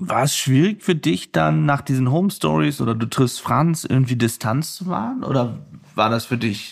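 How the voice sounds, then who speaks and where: His pace is moderate. The man's pitch swings very widely. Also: medium pitch for a man. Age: 30s. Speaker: podcast host and war reporter. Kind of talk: interview. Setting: at the guest's home.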